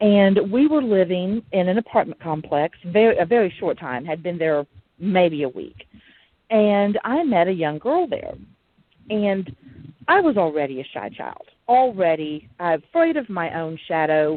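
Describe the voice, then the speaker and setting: A woman with an Alabama accent talks at a fairly slow pace, her pitch sitting in the middle range. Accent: Southern US (Alabama). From US South, Huntsville, Alabama. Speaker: podcast host. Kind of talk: casual monologue.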